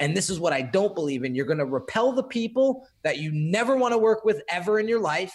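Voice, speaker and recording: A man speaks in a high pitch at a fairly quick pace. His pitch swings very widely. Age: 30s. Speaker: graphic designer and entrepreneur. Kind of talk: casual interview chat.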